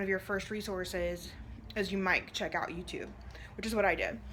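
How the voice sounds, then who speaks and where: A woman is speaking. The room echo is audible. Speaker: direct sales consultant and vlogger. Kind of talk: vlog monologue. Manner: fast; casual, filler-heavy.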